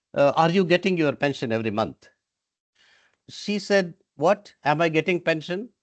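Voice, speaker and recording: The voice moves at a moderate pace with long, frequent pauses and lively intonation, captured in a dry, close sound with no echo. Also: man, high pitch for a man. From India. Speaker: retired UN staff association representative. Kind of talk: panel discussion. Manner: hesitant, with fillers.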